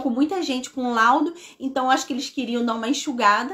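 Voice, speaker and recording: A woman speaks at a high pitch. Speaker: neuropsychopedagogue. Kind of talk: live stream talk. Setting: live stream. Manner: fast.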